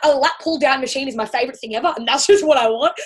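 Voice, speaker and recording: A woman with an Australian accent, high pitch and lively intonation. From Australia, Central Coast of New South Wales. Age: 20s. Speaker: personal trainer. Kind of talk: casual interview. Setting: remote call.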